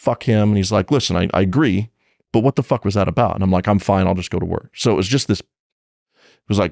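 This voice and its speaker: Talking at a very fast pace, a man with a fairly low voice uses ordinary pitch variation, and the sound is dry with no echo over a quiet background. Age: 30s. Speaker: police officer; podcast guest. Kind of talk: casual chat. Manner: animated. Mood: candid, some swearing. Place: studio. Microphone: studio mic.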